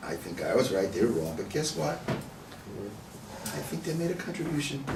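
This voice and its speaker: A man amid audible room echo and noticeable background noise. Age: 70s. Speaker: rabbi teaching a text study class. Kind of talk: text study discussion. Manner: conversational, repeats words.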